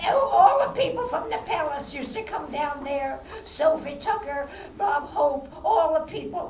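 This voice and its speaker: A woman's high-pitched voice with lively intonation at a fairly slow pace, noticeable background noise, and audible room echo. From New York City. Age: 80s+. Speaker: former vaudeville performer and filmmaker. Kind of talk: audience Q&A. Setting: stage with audience at film festival.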